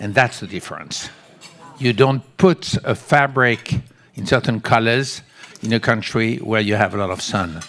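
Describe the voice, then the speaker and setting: At a moderate pace, a man with a French accent speaks in a medium pitch with ordinary pitch variation. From France. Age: 70s. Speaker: textile company creative director. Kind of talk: audience Q&A at a panel. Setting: stage with audience.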